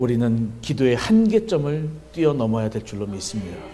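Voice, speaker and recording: Audible room echo surrounds a man with a medium pitch. His voice is somewhat breathy with a dark, mellow tone. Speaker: pastor. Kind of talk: sermon. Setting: church revival meeting.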